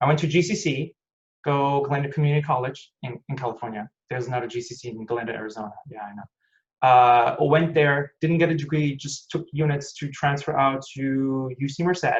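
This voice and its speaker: A man with a fairly high, somewhat breathy voice speaks at a fairly quick pace. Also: ordinary pitch variation, big swings in loudness. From Germany, Hanover. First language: German. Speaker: aerospace engineer. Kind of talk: online technical talk.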